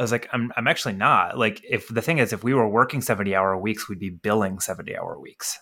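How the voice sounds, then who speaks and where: Speaking at a very fast pace with hardly any pauses, a man with a bright, sharp tone and medium pitch shows ordinary pitch variation in a very clean recording with a silent background. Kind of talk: casual chat.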